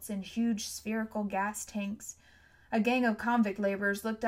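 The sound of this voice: What comes through is an unforced reading voice.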